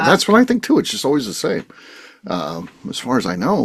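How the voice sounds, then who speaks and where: A man speaks at a fairly quick pace. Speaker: podcast host. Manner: natural, unforced delivery, does not put on a voice.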